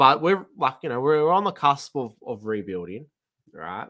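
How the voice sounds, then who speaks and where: A fairly high-pitched man with an Australian accent and a bright, sharp, animated tone. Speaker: football podcast host. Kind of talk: casual chat. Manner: halting, stammering.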